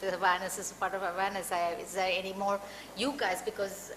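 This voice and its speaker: Over noticeable background noise and audible room echo, a woman speaks at medium pitch and a fairly quick pace. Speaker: compliance consultant and anti-trafficking advocate. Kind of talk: panel talk and Q&A. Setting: public talk with audience.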